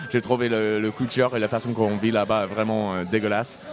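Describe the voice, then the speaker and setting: Crowd noise fills the background as a man speaks with an English accent. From US Midwest (Indiana). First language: English (speaking French). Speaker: singer-songwriter. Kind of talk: casual interview chat. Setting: pub table.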